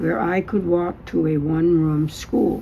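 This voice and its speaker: Someone with an American accent speaks at a very slow pace against noticeable background noise. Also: woman. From New Hampshire, US. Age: 90s. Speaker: oral history interviewee. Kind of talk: oral history interview; reading aloud from own written memoir. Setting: public library. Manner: halting.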